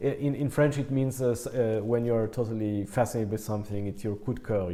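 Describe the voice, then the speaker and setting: A man with a fairly low pitch speaks very fast, his intonation fairly even and his speech hardly pausing. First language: not English. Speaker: concert pianist. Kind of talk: casual interview. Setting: in person, Berlin. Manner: halting, many fillers.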